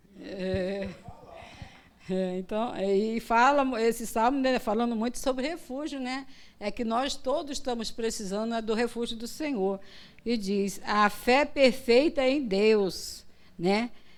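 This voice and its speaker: Speaking at a very slow pace, a woman with a fairly high pitch uses ordinary pitch variation, and audible room echo is present. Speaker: missionary preacher. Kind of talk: sermon. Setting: church.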